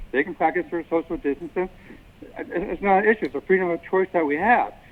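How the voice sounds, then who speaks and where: A man speaks at a very fast pace. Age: 60s. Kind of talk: public comment at council meeting. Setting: city council meeting. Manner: halting, many fillers and restarts.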